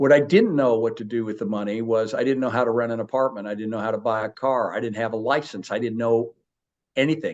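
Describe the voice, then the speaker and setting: A man talks at a very fast pace and a medium pitch, with fairly even intonation. The background is quiet. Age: 70s. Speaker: interview guest, philanthropist. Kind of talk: interview, personal life story. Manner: hesitant fillers and self-repeats.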